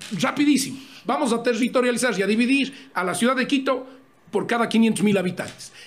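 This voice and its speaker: A man speaks at a fairly quick pace with an extremely high pitch and ordinary pitch variation. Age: 50s. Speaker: presidential candidate, politician. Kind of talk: interview. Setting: studio with camera. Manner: fast.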